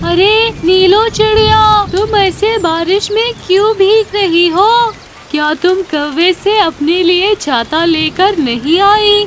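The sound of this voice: In a cartoonish character voice pitched extremely high, a woman speaks at a very slow pace over clear background noise.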